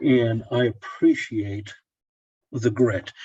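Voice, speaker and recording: This man has a medium-pitched, somewhat breathy voice with a dark, mellow tone and an American accent. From Oklahoma, Tulsa. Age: 60s. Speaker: pharmacist and Orthodox layman blogger. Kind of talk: casual interview chat.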